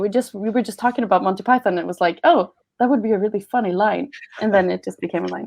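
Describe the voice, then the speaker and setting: A woman with a Swedish accent speaks very fast in a dark, mellow tone with ordinary pitch variation. The background is quiet. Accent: Swedish, moderate. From Sweden. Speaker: voice actor. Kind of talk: panel Q&A. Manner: halting.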